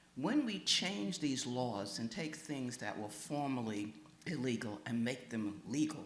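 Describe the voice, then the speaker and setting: The speaker uses lively intonation at a fairly slow pace, with audible room echo and noticeable background noise. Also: man. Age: 80s+. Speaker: pastor. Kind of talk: public comment at listening session. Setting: church meeting with audience.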